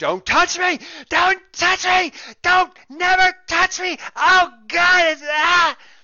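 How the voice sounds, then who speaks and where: Shouting man in a put-on character voice, extremely high-pitched, monotone and flat, at a very slow pace. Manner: screaming.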